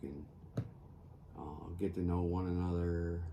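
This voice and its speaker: With an American accent, a man speaks at a very slow pace in a very deep, low pitch, somewhat breathy with a dark, mellow tone and audible room echo. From US Northeast (upstate New York). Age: 50s. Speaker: crafting youtuber. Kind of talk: casual chat while crafting. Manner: halting, many fillers.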